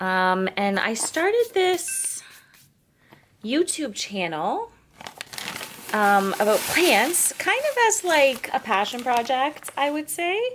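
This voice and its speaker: Speaking very slowly with long, frequent pauses, a woman's high voice swings very widely in pitch. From eastern Canada. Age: 30s. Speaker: plant youtuber, content creator. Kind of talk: casual chatty vlog while potting plants. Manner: casual, filler-heavy.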